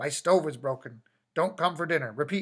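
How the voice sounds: A man's put-on character voice, hoarse and raspy, with ordinary pitch variation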